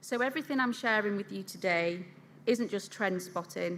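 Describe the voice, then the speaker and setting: In a Yorkshire accent, a woman speaks at a moderate pace. Her tone is bright and sharp, at a medium pitch. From England, Yorkshire. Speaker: food industry consultant, conference speaker. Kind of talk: conference keynote presentation.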